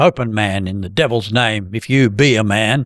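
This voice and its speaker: Shouting and growling in a put-on character voice, a man delivers his lines at a medium pitch and a moderate pace. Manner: shouting, angry.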